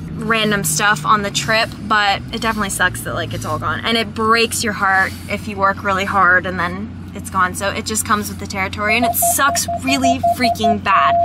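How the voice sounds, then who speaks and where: Music plays in the background of this dry recording with no echo, where the speaker keeps a moderate pace with hardly any pauses. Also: woman. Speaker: vlogger. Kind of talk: casual vlog chat. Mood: disappointed, venting. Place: car. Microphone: phone near.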